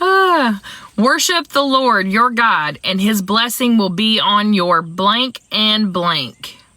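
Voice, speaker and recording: Speaking with an American accent, a woman uses a fairly high pitch with very wide pitch swings and very even loudness. Her pace is very slow, and there is noticeable background noise. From US South. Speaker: livestream trivia host. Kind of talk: casual livestream Bible trivia. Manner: animated, chatty.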